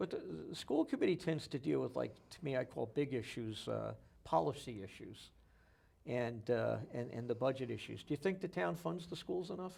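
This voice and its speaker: A medium-pitched man with an American accent, very wide pitch swings, vocal fry and a moderate pace. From New Jersey. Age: 60s. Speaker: local TV interview host. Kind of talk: interview.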